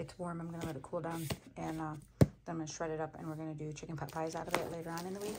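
Loud background noise runs under a woman's voice. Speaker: home vlogger. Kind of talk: casual vlog chat. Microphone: phone near.

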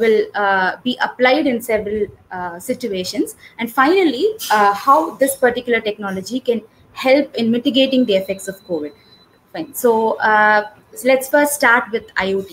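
Lively intonation marks this woman's speech at a moderate pace. Light background noise is present. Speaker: webinar presenter. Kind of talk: lecture.

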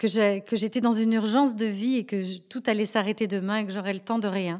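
On a very clean recording with a silent background, a woman talks at a fairly slow pace and a fairly high pitch with ordinary pitch variation. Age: 40s. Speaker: fashion designer. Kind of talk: testimony. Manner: halting, with many repeated words.

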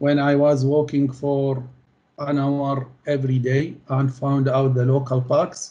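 A man's dark, mellow tone, monotone and flat in intonation, at a fairly slow pace. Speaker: interviewee. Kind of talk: interview answer. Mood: calm, grateful. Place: home room. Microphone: video call.

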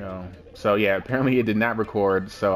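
A quiet man, fairly low in pitch, at a fairly quick pace with monotone, flat intonation. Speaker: let's play gamer. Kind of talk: casual gameplay commentary. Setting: low-quality home recording.

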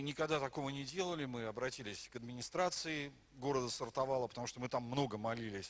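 His speech comes at a fairly quick pace. The man's intonation sounds lively. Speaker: pastor. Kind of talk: sermon. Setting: church. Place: church. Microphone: handheld.

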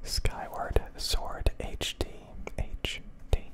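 Whispered speech from a man. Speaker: ASMR creator. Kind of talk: ASMR whisper ramble showing handheld game consoles and games. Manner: whispered, slow, soft-spoken. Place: home room. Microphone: studio mic.

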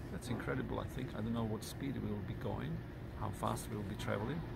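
A man over loud background noise. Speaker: travel vlogger. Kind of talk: casual vlog chat. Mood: excited, enthusiastic. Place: station. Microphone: phone near.

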